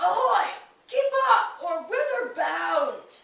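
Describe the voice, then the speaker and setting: A put-on character voice, gruff and extremely high-pitched, moves at a very slow pace. A slight echo can be heard. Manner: warning, challenging.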